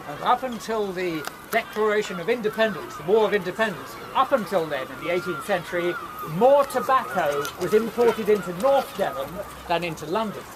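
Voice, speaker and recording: A man's high-pitched voice at a fairly quick pace, with lively intonation, big jumps in volume and noticeable background noise. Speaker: town crier. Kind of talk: guided tour talk explaining local history.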